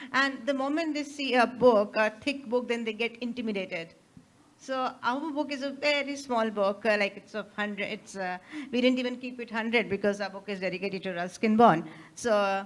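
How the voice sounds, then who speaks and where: Speaking fairly quickly in an Indian accent, a woman has a fairly high pitch with ordinary pitch variation. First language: Hindi. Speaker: author. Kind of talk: interview. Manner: halting.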